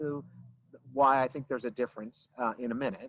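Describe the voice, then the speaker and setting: The sound here is dry and close, with no echo. The speaker is a man. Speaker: veterinary dentist. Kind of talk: lecture. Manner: fast; casual, filler-heavy.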